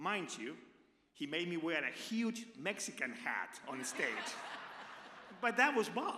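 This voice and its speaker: Audible room echo surrounds a man with an Argentine accent whose high pitch moves in very wide swings. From Argentina. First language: Spanish. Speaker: radio personality. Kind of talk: tribute speech. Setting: stage with audience.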